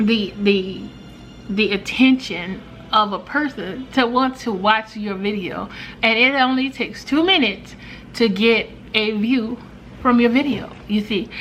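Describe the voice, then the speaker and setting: Fairly slow, fairly high-pitched speech from a woman, with ordinary pitch variation and noticeable background noise. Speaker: lifestyle vlogger. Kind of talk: casual vlog talk to camera. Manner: hesitant, many fillers.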